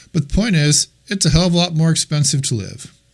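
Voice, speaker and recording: A man is speaking. His voice is somewhat breathy. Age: 60s. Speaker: real estate trainer. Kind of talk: masterclass talk to a group. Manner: casual and conversational.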